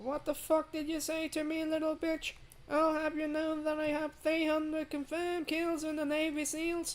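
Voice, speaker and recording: A high, put-on character voice with monotone, flat intonation at a moderate pace. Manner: aggressive, ranting.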